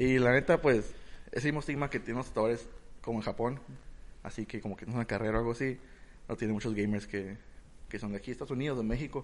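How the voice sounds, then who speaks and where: Very fast speech with fairly even intonation, broken by long, frequent pauses. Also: man, medium pitch for a man. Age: 20s. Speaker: podcast co-host. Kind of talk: casual chat.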